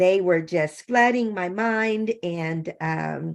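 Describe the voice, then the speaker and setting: A woman's fairly low-pitched voice in an American accent, with ordinary pitch variation and a quiet background. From California. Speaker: children's author, Air Force veteran. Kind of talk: interview conversation. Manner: halting, many fillers.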